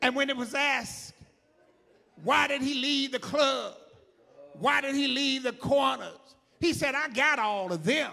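In a raised, projected voice with a bright, sharp tone, a man speaks at an extremely high pitch, fairly slowly, with ordinary pitch variation and long, frequent pauses. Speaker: preacher. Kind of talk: sermon. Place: church. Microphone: handheld.

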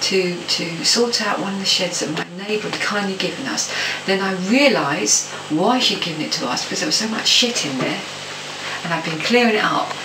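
Noticeable background noise accompanies a woman who talks at a moderate speed. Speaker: home vlogger. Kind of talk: casual vlog chat. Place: home room. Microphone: webcam.

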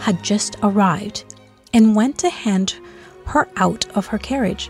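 Lively intonation over music in the background. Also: woman. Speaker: storybook reader. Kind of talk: children's bedtime story read-aloud.

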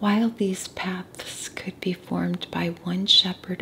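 Soft-spoken and calm in tone, a woman at a medium pitch talks at a very slow pace over light background noise. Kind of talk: soft-spoken Bible study reading and teaching. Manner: soft-spoken, calm, relaxing. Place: home room. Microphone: studio mic.

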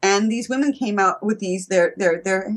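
The background is quiet. A woman speaks with ordinary pitch variation. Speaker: guest. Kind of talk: interview answer. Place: home room. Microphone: video call.

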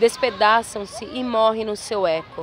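A woman talks at a very slow pace, the sound dry with no echo and light background noise behind her. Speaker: poetry reader. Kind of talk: poetry reading. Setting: outdoors, beach. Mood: calm, solemn, intimate. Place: beach. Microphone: phone near.

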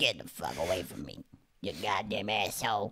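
A put-on character voice, croaky and raspy, sits at a low pitch and moves at a moderate pace. Light background noise is audible. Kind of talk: casual comedic podcast chat. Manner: angry, cursing. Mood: joking mock anger.

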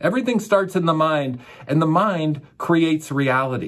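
A man speaks at a moderate pace with a fairly high pitch. His intonation is lively, and the background is quiet. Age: 40s. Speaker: raw vegan coach and channel host; raw vegan coach, channel host. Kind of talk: monologue to camera. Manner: enthusiastic. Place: studio.

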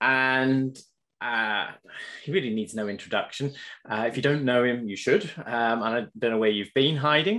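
At a moderate pace, a man talks in a normal speaking voice at medium pitch with ordinary pitch variation against a quiet background. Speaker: podcast host and animal behaviour researcher. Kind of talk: interview conversation. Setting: video call.

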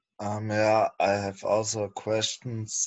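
With a German accent, a man talks at a very slow pace. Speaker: project team member. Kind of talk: casual chat. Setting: video call. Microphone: video call.

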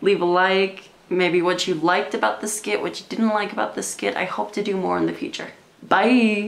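A woman speaks at a moderate pace with light background noise behind her. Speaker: comedy vlogger. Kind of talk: casual talk to camera. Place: home room. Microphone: camera far.

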